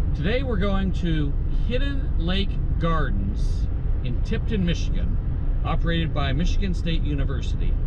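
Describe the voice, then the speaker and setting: A man at a moderate pace, with loud background noise behind him. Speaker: travel channel host. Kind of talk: casual vlog chat. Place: car. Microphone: phone near.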